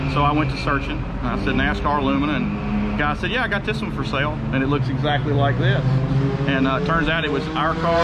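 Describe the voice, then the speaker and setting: Someone speaks at a fairly quick pace over loud background noise. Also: man. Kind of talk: interview answer. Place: garage. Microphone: phone near.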